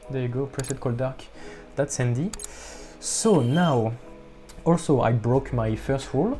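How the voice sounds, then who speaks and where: A man's medium-pitched voice at a moderate pace, with ordinary pitch variation, long, frequent pauses and music in the background. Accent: non-native. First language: not English. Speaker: music producer youtuber. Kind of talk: tutorial. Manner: halting.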